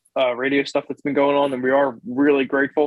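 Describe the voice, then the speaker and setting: This is a man speaking with an American accent. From Philadelphia, Pennsylvania (Eastwick). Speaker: podcast host and musician. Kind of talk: casual chat.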